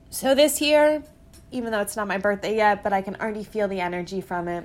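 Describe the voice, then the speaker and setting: Speaking at a fairly quick pace, a woman has a plain, everyday voice at medium pitch. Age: 20s. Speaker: podcast host. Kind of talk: personal monologue. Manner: casual.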